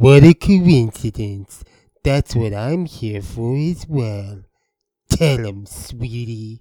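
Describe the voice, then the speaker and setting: Using a put-on character voice at medium pitch, a man talks at a very slow pace with big swings in loudness. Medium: audio drama. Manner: smooth and jaunty.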